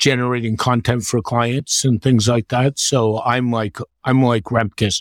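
In a dry, close sound with no echo, a man with a normal speaking voice talks at a fairly slow pace and a medium pitch. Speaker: WordPress professional, panelist. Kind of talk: casual panel discussion. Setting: video call.

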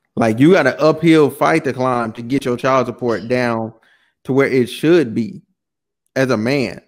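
A man's unremarkable speaking voice, medium in pitch, at a fairly slow pace with ordinary pitch variation. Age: 20s. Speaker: podcast host. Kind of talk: casual chat.

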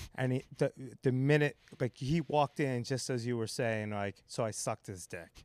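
In a dry, close sound with no echo, a man with an unremarkable speaking voice speaks at a moderate pace, medium pitch and ordinary pitch variation. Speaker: comedian; bar owner. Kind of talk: casual chat. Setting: podcast recorded live with audience. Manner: joking, profane.

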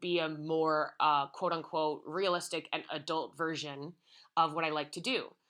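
A woman with an American accent has a normal speaking voice, a fairly low pitch, ordinary pitch variation and a moderate pace. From US, conservative suburban town. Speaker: social media influencer. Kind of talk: casual chat.

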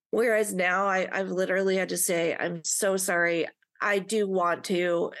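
The delivery comes at a moderate pace, with very even loudness and monotone, flat intonation. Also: woman, medium pitch for a woman. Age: 30s. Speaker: podcast co-host, adoptee. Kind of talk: casual chat.

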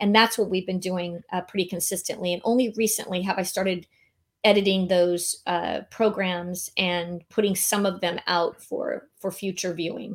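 A woman talks at a moderate pace in a Californian accent. Her medium-pitched voice stays monotone and flat. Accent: Californian American. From San Diego, California. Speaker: meeting and event planner. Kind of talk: casual interview.

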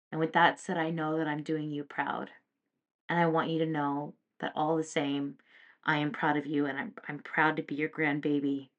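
Her voice very deep and low, a woman speaks at a moderate pace in a flat monotone, with a quiet background. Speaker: podcast host and psychic medium. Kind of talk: open letter read aloud as a heartfelt dedication to a late grandmother. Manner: earnest, emotional, tender.

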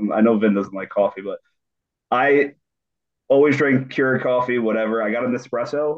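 A normal speaking voice from a medium-pitched man with fairly even intonation. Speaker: podcast guest. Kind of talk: casual chat.

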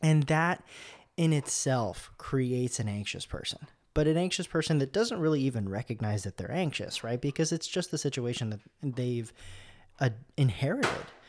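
In a very clean recording with a silent background, a man with a fairly high pitch speaks at a moderate pace with lively intonation. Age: 20s. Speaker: podcast host. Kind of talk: solo monologue.

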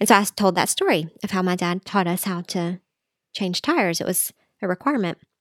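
Her Southern US accent comes through as the woman speaks at a fairly quick pace and medium pitch with ordinary pitch variation, on a very clean recording with a silent background and a dry, close sound with no echo. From US South, Middle Tennessee. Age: 40s. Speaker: dietitian and substitute teacher. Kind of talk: casual interview chat.

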